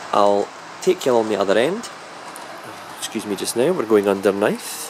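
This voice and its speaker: A man with a Scottish accent speaks at a fairly low pitch with ordinary pitch variation. Noticeable background noise is present. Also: moderate pace. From Scotland. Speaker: model railway hobbyist. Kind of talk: video walkthrough of a layout. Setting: loft. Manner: casual, hesitant with fillers.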